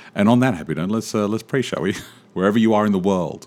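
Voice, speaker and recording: A booming, put-on character voice from a man, fairly low in pitch, at a very fast pace. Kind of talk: pastoral, ceremonial.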